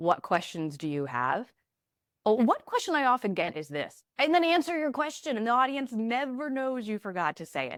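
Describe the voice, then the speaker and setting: On a very clean recording with a silent background, a woman speaks at a high pitch with very wide pitch swings. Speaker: communication trainer and former TV news reporter. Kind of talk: podcast interview. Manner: fast.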